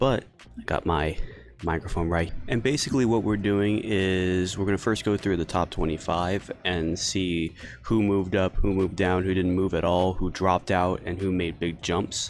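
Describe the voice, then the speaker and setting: Quiet and at a very even loudness, a man with a very deep, low pitch speaks at a moderate pace with fairly even intonation. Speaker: sports podcast host. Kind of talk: solo sports commentary podcast. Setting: outdoors in a pavilion. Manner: quiet, subdued.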